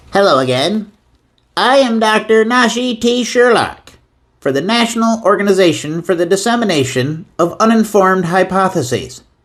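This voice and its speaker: Doing a put-on character voice, a man talks at a high pitch and moderate pace with lively intonation and very even loudness. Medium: voice reel.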